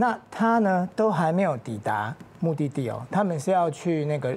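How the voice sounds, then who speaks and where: A man's voice moves at a moderate pace, his pitch swinging very widely. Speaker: TV guest. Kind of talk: commentary. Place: studio. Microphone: lapel.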